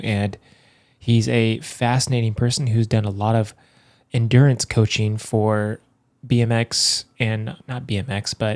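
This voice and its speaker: At a fairly slow pace, a man speaks in an ordinary speaking voice at a medium pitch, on a very clean recording with a silent background. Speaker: podcast host; firefighter. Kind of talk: podcast intro. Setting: studio. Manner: upbeat.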